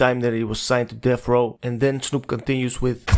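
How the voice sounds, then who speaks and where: Speaking very fast, a man holds a flat monotone at a medium pitch. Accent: non-native. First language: not English. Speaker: music documentary narrator. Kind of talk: documentary narration.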